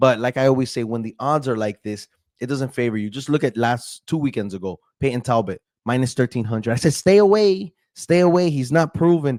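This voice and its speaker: A man speaks at a fairly quick pace in an animated tone with lively intonation and a medium pitch. The sound is dry and close, with no echo. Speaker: MMA YouTuber giving fight predictions. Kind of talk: casual prediction monologue.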